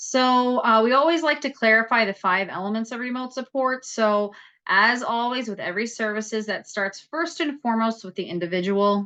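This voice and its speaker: Bright and sharp in tone, a woman with an American accent speaks at a fairly high pitch with ordinary pitch variation and hardly any pauses. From New York. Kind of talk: presentation. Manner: fast.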